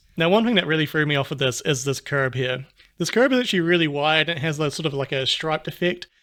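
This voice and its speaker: Over a very clean recording with a silent background, a man with a New Zealand accent talks at a very fast pace in a fairly high pitch, his tone bright, sharp and upbeat, with ordinary pitch variation. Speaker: YouTuber. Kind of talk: video commentary. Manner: casual, upbeat.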